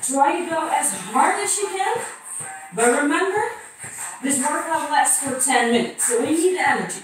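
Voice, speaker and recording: Through strong room echo and faint music in the background, a woman speaks at a high pitch. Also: moderate pace. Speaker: fitness instructor. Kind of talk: workout instruction. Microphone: camera far.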